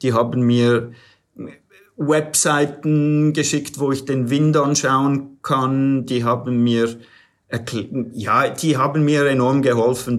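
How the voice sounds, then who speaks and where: A man's medium-pitched voice, very slow and fairly even in intonation, with audible room echo. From USA. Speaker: paraglider pilot. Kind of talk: interview. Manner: halting, with repetitions.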